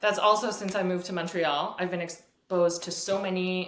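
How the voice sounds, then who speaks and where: With a Canadian accent, a woman speaks at a fairly low pitch, and room echo can be heard. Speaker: fiddle teacher. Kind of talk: interview. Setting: video call.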